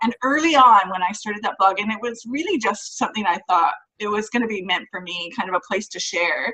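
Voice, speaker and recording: Speaking at a fairly quick pace with ordinary pitch variation, the speaker has a plain, everyday voice with a Canadian accent. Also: woman, fairly high pitch for a woman. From Canada. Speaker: author, speaker and mindset coach. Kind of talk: interview.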